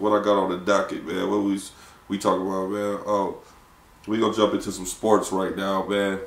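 In an American accent, a man with a fairly low pitch talks at a fairly quick pace amid audible room echo. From Ohio, Lorain near Cleveland; Ohio. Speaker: podcast host. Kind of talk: casual chat. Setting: studio with producer in the back. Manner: animated. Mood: laid-back, joking, opinionated. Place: studio.

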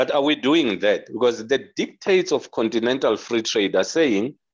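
Lively intonation with vocal fry in a South African accent, moderate pace, quiet background. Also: man. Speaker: audience participant; interview guest. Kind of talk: panel discussion. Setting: video call. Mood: earnest, argumentative. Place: home room. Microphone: video call.

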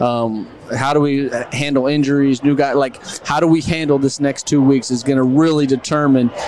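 A man talks at a moderate pace and medium pitch, his tone slightly mellow. His intonation stays fairly even over faint background noise.

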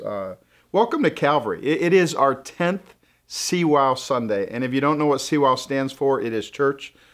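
A man talks with ordinary pitch variation, and the background is quiet. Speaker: church pastor hosting. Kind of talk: casual welcome talk to viewers. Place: studio.

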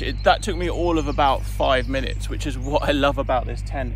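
A man's very deep, low voice, dry with no echo, with music in the background. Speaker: outdoor gear reviewer. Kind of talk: casual vlog chat. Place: garden. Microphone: phone near.

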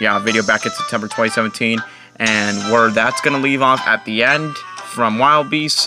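A man talks at a moderate pace with very even loudness and ordinary pitch variation. Clear music plays in the background, and the sound is dry without echo. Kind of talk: puppet show intro chat. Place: home room. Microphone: phone near.

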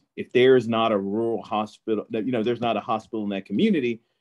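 A man speaks in a Southern US accent with fairly even intonation. The background is quiet. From Holly Springs, Mississippi; Mississippi. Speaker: physician; panelist. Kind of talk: panel discussion. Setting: video call. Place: home room. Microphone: video call.

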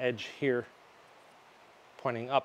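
The speaker is a man. His voice has a medium pitch. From Canada. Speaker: DIY product installer, video creator; video creator. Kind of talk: tutorial. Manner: casual, chatty. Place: garage.

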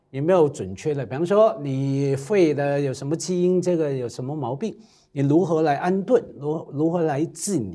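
The background is quiet as a man speaks in a dark, mellow tone at a fairly high pitch. His pitch variation is ordinary, while his loudness swings widely. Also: moderate pace. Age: 50s. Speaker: cultural commentator. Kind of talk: casual roundtable chat. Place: studio. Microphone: lapel.

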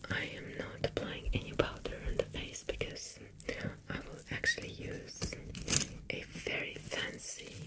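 Soft-spoken whispering over loud background noise. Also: fairly slow pace. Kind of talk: tutorial narration. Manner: soft close ASMR whisper.

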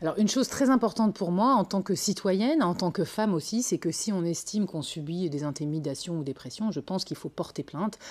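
At a fairly quick pace with hardly any pauses, a woman of medium pitch talks with lively intonation. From northern France, Lille; France. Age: 40s. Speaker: politician, municipal candidate; candidate. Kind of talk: TV interview. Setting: TV studio. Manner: hesitant, many fillers. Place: studio. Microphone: lapel.

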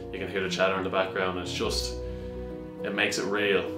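A man's voice with ordinary pitch variation over clear music in the background. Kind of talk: appeal to camera. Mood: earnest, encouraging. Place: office.

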